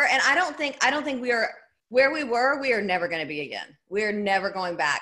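A woman with a Southern US accent uses a raised, projected voice with a bright, sharp tone. She speaks at a fairly quick pace, with very wide pitch swings. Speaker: business and networking speaker. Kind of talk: interview answer. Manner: fun, entertaining.

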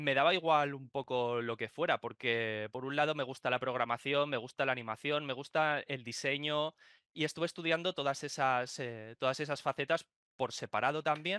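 Against a quiet background, a man speaks with a bright, sharp tone and fairly even intonation, the sound dry with no echo. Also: moderate pace. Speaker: remote podcast guest. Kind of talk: interview answer. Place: home room. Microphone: video call.

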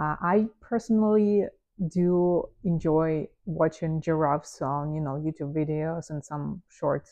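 Quiet background, a relaxed tone, and a woman speaking at a fairly slow pace with a non-native accent. Her pitch is fairly low, with ordinary variation. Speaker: photographer. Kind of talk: unscripted casual talk to camera. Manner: relaxed, with filler words and pauses. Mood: relaxed, amused. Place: home room. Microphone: lapel.

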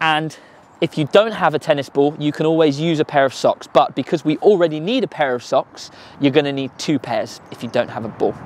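A man's fairly quick speech with ordinary pitch variation, dry and echo-free, over light background noise. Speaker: tennis coach. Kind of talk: tutorial. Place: open country.

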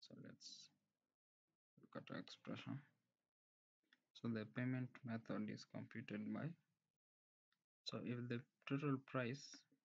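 Over a quiet background, a man talks at a fairly slow pace with long, frequent pauses. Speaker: presenter. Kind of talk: tutorial. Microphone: webcam.

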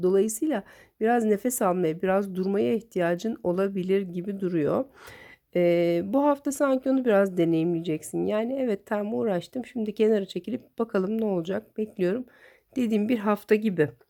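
A woman with a dark, mellow tone and medium pitch speaks at a moderate pace with lively intonation. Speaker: tarot reader. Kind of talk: tarot reading monologue. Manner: conversational, many filler hesitations.

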